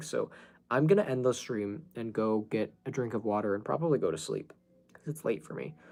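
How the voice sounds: Putting on a raspy character voice, a man speaks at a medium pitch and a fairly quick pace with lively intonation.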